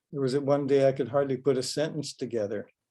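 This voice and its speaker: A man with a Canadian accent and a dark, mellow tone. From Canada, Vancouver. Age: 80s+. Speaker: author and poet. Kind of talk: author talk. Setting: video call.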